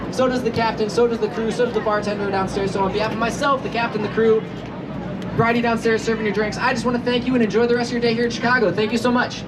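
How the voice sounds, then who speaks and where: The speech comes at a very fast pace. Crowd noise sits in the background, and there is audible room echo. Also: woman, fairly high pitch for a woman. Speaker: tour guide. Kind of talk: guided tour commentary. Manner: animated.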